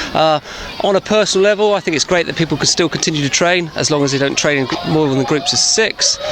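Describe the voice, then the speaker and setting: Over noticeable background noise, a man with an English accent speaks at a very fast pace in a high pitch with ordinary pitch variation. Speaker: PE teacher. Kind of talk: interview. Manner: halting.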